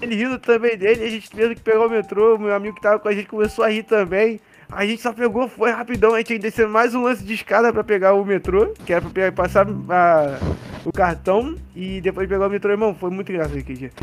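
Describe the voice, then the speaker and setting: A man with a high voice talks at a very fast pace. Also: ordinary pitch variation. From Rio de Janeiro, Brazil. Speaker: basketball content creator. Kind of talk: casual chat.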